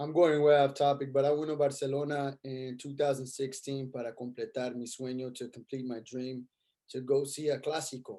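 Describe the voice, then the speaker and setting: Speaking at a moderate pace with an American accent, a man uses a medium pitch. His tone is dark and mellow, his intonation monotone and flat. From Los Angeles. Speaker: podcast host. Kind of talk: casual interview chat.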